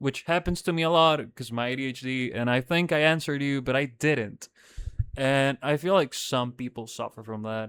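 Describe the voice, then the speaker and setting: The recording is dry and close with no echo as a man with a Spanish accent talks at a moderate pace, his fairly high voice moving with ordinary pitch variation. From Dominican Republic. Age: 20s. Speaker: podcast host. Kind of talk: casual monologue podcast. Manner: casual, hesitant with fillers.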